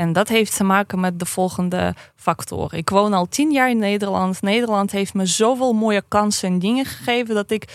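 A woman with an ordinary speaking voice talks at a medium pitch, her pitch varying in an ordinary way, on a very clean recording with a silent background. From Russia, St. Petersburg. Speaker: activist and historian. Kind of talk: podcast interview.

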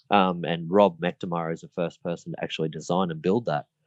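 Someone with an Australian accent speaks at a moderate pace. The sound is dry and close, with no echo. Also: man. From Queensland, Australia. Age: 40s. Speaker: model aircraft racer. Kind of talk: interview.

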